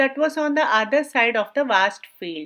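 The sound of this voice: The voice has a bright, sharp tone and lively intonation, moving at a moderate pace. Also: woman.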